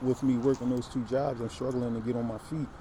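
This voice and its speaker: A man with monotone, flat intonation over noticeable background noise. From Philadelphia, US. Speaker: aspiring rapper. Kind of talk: self-introduction monologue. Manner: hesitant, many fillers.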